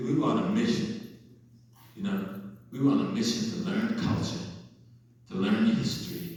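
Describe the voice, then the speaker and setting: A man with an American accent speaks with very wide pitch swings. Audible room echo and noticeable background noise surround him. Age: 70s. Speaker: keynote speaker, professor. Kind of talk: public lecture. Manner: animated.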